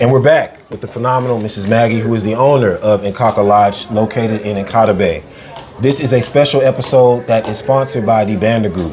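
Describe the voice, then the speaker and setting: Noticeable background noise runs behind the speech. The pace is fairly quick and the intonation fairly even. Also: man, medium pitch for a man. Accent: American. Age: 30s. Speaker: podcast host. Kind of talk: interview. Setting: on location at a lodge.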